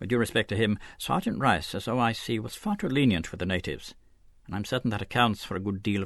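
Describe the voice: Someone reads plainly aloud, and the pitch moves up and down in a normal way.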